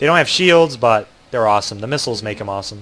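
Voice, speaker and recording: With an American accent and lively intonation, a man talks over noticeable background noise. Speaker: video game streamer. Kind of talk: live gameplay commentary. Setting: livestream. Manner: casual, filler-heavy with frequent ums and restarts.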